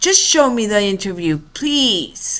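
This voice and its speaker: Using a put-on character voice, a woman talks at a fairly slow pace in a fairly high pitch. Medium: read story. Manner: fussy, easily flustered.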